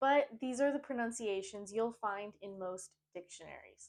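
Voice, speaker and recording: Speaking in a New England accent, a woman talks at a fairly slow pace, her fairly high pitch varying in an ordinary way. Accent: American New England. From US New England, Maine. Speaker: English teacher. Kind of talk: pronunciation tutorial. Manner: slow, clear enunciation.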